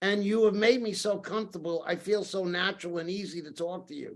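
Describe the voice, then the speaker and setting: With a New York accent, this man speaks at a high pitch. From New York City, Brooklyn and Queens. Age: 60s. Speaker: storyteller and author. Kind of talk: podcast interview. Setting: podcast.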